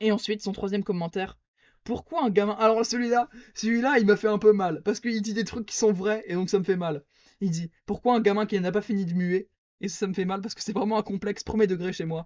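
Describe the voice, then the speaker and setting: With a high pitch and fairly even intonation, a man talks at a fairly quick pace while his loudness swings widely. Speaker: podcast host. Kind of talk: solo podcast monologue.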